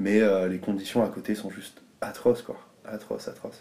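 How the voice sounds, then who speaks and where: The man talks at a fairly slow pace. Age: 20s. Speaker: DJ and music teacher. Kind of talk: casual interview. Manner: hesitant, many fillers.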